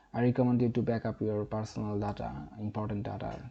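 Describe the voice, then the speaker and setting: Speaking at a fairly quick pace, a man has a fairly low pitch and ordinary pitch variation. His tone is dark and mellow, and he speaks with a non-native accent. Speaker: tech tutorial youtuber. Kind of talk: tutorial. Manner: halting.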